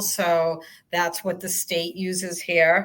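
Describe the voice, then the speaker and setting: Very slowly, a woman of medium pitch speaks in a strong Boston accent. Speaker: transit agency communications staff. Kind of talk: webinar Q&A.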